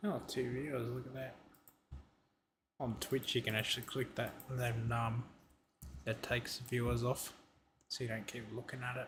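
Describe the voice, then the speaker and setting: A man whispers quietly, with long, frequent pauses. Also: moderate pace. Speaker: streamer building a game map. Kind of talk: casual live-stream commentary. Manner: whispering, quiet.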